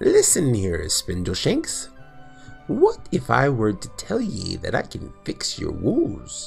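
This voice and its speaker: A man's put-on character voice at a fairly slow pace, with clear music in the background. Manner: dreamy.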